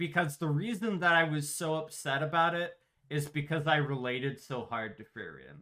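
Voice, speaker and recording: A man speaks at a moderate pace with a bright, sharp tone. His pitch is fairly high, with ordinary variation. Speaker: streamer and podcast host. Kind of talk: casual chat. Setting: live stream. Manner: animated.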